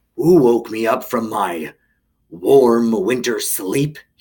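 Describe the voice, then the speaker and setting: A man's gruff, growling put-on character voice at medium pitch and a very slow pace. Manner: snarling, gruff.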